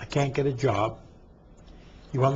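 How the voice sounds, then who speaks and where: This man's voice is somewhat breathy. His pitch sits in the medium range. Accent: American. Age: 60s. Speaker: former prisoner and reform advocate. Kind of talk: interview. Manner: animated.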